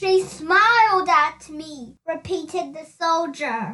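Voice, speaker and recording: Using a put-on character voice, a woman talks very slowly with lively intonation at an extremely high pitch. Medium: read story. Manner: gloomy.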